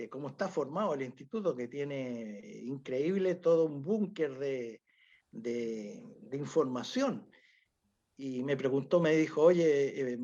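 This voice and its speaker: With a dark, mellow tone, a man speaks at a fairly high pitch and with lively intonation. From Chile. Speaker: UFO researcher. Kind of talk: interview. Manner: halting.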